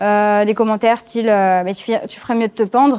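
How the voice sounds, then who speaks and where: A woman with a fairly high pitch and fairly even intonation talks in an unremarkable speaking voice. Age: 20s. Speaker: cyberharassment survivor telling her story. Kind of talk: testimony.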